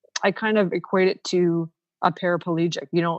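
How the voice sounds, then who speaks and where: A woman's fairly low voice with a Canadian accent, at a moderate pace, in a flat monotone. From Ontario, Canada (Niagara). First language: Ukrainian. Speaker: professional organizer, former teacher. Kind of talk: podcast interview. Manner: casual, many fillers.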